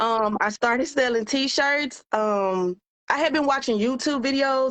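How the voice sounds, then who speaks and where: The woman's voice is fairly high in pitch, with ordinary pitch variation. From US South, Memphis, Tennessee. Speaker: business coach. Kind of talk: live-stream interview. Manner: casual, conversational.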